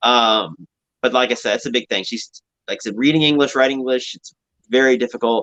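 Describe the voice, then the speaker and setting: This man has a Southern US accent. He speaks at a medium pitch. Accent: American Southern. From Louisville, Kentucky. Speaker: reality TV participant. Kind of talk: live stream interview. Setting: live video stream. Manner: fast; words running together.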